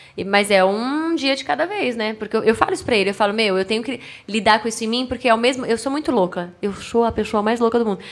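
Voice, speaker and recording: A woman talks very fast with hardly any pauses and an animated tone. Her pitch is fairly high, with ordinary pitch variation. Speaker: TV presenter of product ads. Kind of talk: casual chat. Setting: studio.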